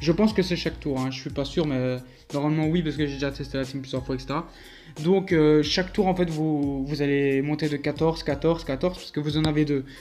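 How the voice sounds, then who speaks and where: With music playing in the background, a man speaks fairly quickly at a fairly high pitch, keeping his intonation fairly even. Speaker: mobile game youtuber. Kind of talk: gameplay commentary. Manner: fast; hesitant, many fillers.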